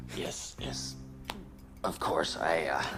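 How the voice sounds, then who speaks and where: A man speaks in a put-on character voice with a very deep, low pitch. Clear background noise is present. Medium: short film. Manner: deadpan, flat.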